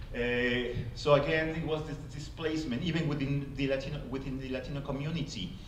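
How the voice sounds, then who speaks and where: A man with a Spanish accent talks at a fairly quick pace in a fairly high voice, his intonation fairly even. Noticeable background noise and audible room echo are present. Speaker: playwright. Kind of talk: panel talk. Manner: halting.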